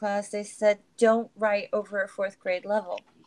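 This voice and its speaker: Speaking at a moderate pace, a woman uses a fairly high pitch and a flat, monotone intonation. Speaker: atheist panelist. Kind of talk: casual discussion.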